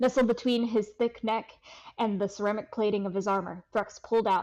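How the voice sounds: A natural reading voice moves through the text with fairly even intonation.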